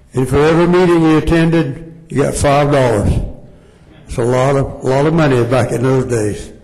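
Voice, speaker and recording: Over noticeable background noise and audible room echo, a man with a fairly high voice speaks with fairly even intonation. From South Florida. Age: 80s+. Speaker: former mayor. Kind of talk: tribute speech. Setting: city council meeting.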